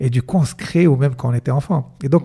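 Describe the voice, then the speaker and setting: A man with a medium-pitched voice and a dark, mellow tone. He sounds somewhat breathy. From Morocco. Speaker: entrepreneur and mentalist; podcast guest. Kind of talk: casual interview chat. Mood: relaxed, smiling. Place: studio. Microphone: studio mic.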